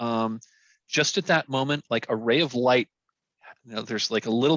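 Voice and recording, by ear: The background is quiet as text is read aloud in a natural voice.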